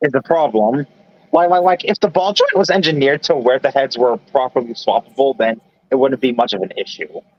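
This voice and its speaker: Fairly high in pitch, this man has an unremarkable speaking voice with an American accent. He talks at a fairly quick pace with lively intonation. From New York. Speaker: live streamer. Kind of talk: casual chat. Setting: live stream voice chat.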